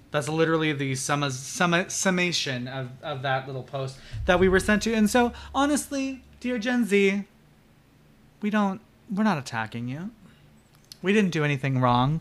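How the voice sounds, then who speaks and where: Loud and at a moderate pace, a man speaks in a fairly high pitch with very wide pitch swings and long, frequent pauses. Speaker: podcast co-host. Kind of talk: casual chat. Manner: loud, projecting voice.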